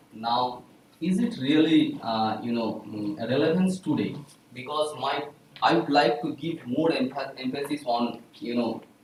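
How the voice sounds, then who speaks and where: A medium-pitched man's voice is heard with audible echo from the room. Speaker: statistics professor giving an invited talk. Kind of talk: lecture. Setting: small room, no microphone. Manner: loud; halting. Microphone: speaking without a mic.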